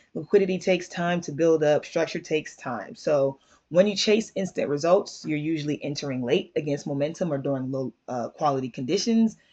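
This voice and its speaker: The delivery is fairly quick. There are hardly any pauses. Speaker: trading educator. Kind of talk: casual tutorial monologue. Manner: many fillers (um, uh).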